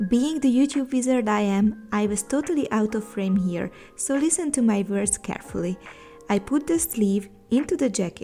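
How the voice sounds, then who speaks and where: In a non-native accent, a woman speaks with lively intonation at a fairly high pitch. Music plays in the background. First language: not English. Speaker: sewing content creator. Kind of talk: sewing tutorial voiceover. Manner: upbeat, casual.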